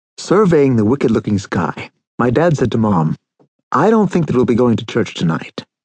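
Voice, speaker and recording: A man speaks at a moderate pace with a medium pitch, very wide pitch swings and vocal fry. The sound is dry and close, with no echo. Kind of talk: audiobook narration of a memoir.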